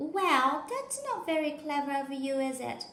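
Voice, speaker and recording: A woman puts on a cheerful character voice at a high pitch, with ordinary pitch variation, a moderate pace and a slight echo. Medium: read story. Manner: cheerful, laughing.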